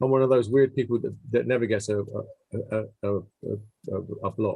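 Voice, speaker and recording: Speaking at a moderate pace is a man. He has an English accent. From England. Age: 70s. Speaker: musician. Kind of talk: interview. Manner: halting.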